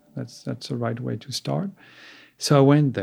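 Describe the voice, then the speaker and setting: A man's somewhat breathy, dark, mellow voice at medium pitch, on a very clean recording with a silent background. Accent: French. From France, east of Paris. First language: French. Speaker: sculptor. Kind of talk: interview. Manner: halting.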